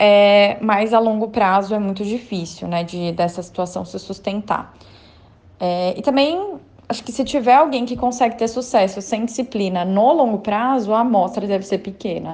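Using a normal speaking voice, a woman with a medium pitch talks at a moderate pace with ordinary pitch variation. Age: 20s. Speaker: economist, financial planner. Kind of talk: recorded testimony.

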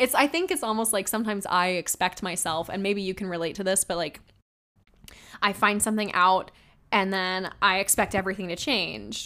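Very clean recording with a silent background of a woman at a medium pitch, with a bright, sharp tone, ordinary pitch variation and a fairly quick pace. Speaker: podcast host and singer. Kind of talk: solo reflective monologue. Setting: alone in a recording room. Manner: rambling with frequent laughs.

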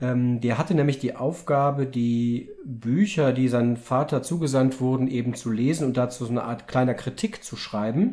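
Hardly pausing, a man with a medium-pitched voice and a dark, mellow tone speaks at a moderate pace with ordinary pitch variation. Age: 30s. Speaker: father and podcast host. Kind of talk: casual book discussion with his children.

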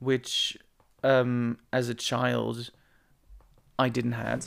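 A man speaks with a Dutch accent. His pitch sits in the medium range. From Netherlands. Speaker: podcast host. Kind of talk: casual monologue. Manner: halting.

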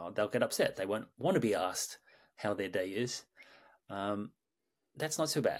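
Speaking with a calm tone and lively intonation, a man with a fairly low pitch leaves long, frequent pauses. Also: moderate pace. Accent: Australian. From Sydney, Australia. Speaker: mindfulness teacher and creative director. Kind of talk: guided meditation and interview answers. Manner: calm, hesitant with filler words.

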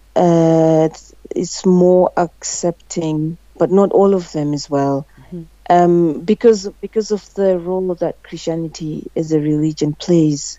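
At a fairly slow pace, a woman with a Zimbabwean accent speaks at a fairly low pitch with fairly even intonation. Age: 30s. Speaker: guest. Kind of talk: casual interview.

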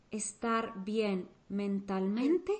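A woman speaks over noticeable background noise. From Mexico. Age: 30s. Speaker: teacher and psychology podcaster. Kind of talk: interview.

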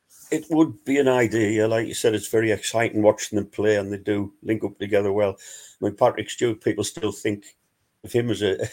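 Fairly low in pitch, a man with a Wearside accent talks at a fairly quick pace with fairly even intonation. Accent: Wearside (Sunderland) English. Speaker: fanzine contributor and football fan. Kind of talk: casual chat. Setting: video call.

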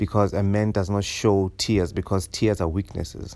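A man speaks at a fairly slow pace in a normal speaking voice. His pitch is fairly low. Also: very clean recording, silent background. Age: 30s. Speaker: podcast host. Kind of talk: solo monologue podcast.

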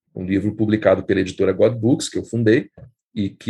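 Over a quiet background, a man speaks with fairly even intonation. His voice is somewhat breathy. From Brazil. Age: 50s. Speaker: writer and editor. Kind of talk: interview.

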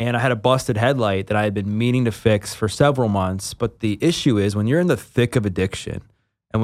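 A man with a plain, everyday voice speaks at a fairly quick pace with a fairly low pitch and ordinary pitch variation, in a very clean recording with a silent background. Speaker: personal trainer and former addict. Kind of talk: interview testimony. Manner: casual, filler-heavy.

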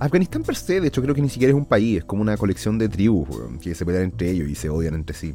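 A man with a Chilean accent, very deep and low in pitch, at a very fast pace with hardly any pauses and very wide pitch swings, music in the background. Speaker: podcast host. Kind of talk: angry rant. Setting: home studio.

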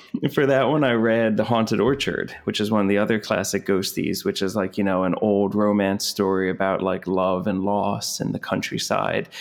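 A man with an American accent talks at a moderate pace with hardly any pauses and very even loudness. His intonation is fairly even, and there is noticeable background noise. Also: fairly low pitch for a man. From New Jersey. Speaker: zine publisher. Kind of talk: casual interview chat.

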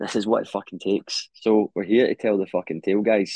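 This man talks at a very fast pace with a fairly low pitch, recorded dry and close with no echo. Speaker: podcast host. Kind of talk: casual solo podcast monologue. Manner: low energy.

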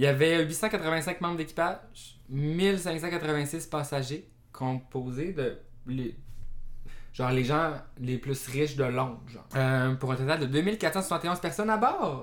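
Long, frequent pauses interrupt delivery that is very slow in pace. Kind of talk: casual chat.

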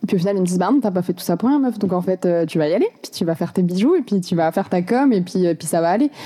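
Very fast speech from a woman at medium pitch with ordinary pitch variation, against noticeable background noise. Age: 20s. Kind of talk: interview.

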